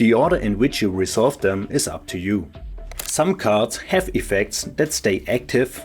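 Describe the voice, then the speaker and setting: With music in the background, a man speaks at a moderate pace and medium pitch in a non-native accent, his pitch swinging very widely. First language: German. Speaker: board game tutorial creator. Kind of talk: board game rules tutorial.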